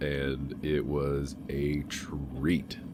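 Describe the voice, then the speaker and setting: A man speaks in a very deep, low voice with vocal fry. His intonation stays flat and monotone. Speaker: hobby blacksmith. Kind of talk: casual voice-over narration. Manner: rambling.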